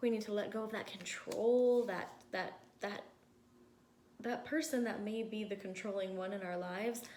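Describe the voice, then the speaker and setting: A woman with a fairly high pitch speaks with fairly even intonation and long, frequent pauses, with audible room echo and noticeable background noise. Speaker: tarot reader. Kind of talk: tarot reading. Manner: slow; rambling, thinking aloud.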